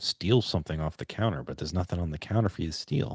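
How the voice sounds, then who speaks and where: A man's very deep, low voice with vocal fry, fairly quick pace and an American accent, dry and close with no echo, on a very clean recording with a silent background. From Boston. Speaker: podcast host. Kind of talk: casual solo podcast chat. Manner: casual, rambling with self-corrections.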